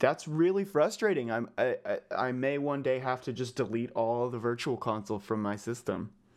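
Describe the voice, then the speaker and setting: Against a quiet background, a man with an unremarkable speaking voice talks at a moderate pace and medium pitch, with lively intonation and hardly any pauses. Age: 20s. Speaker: podcast host. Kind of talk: casual chat.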